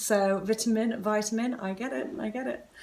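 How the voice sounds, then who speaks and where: The speaker keeps a fairly even intonation. The pace is fairly slow. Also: woman. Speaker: pregnancy vlogger. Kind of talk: vlog tutorial. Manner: hesitant, many fillers.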